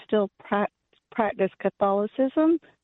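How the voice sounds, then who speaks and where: Pitched fairly high, a woman talks at a fairly slow pace. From US South, Georgia. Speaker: caller. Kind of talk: phone-in question. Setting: phone call. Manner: halting.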